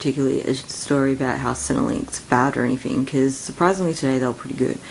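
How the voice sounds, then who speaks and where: Mumbled words come at a very fast pace in an Australian accent over noticeable background noise. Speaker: vlogger. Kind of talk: casual rant. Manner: mumbling.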